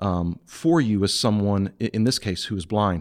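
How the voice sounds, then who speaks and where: The pace is fairly slow. It is an unremarkable speaking voice. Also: man. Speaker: pastor and podcast host. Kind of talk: casual chat.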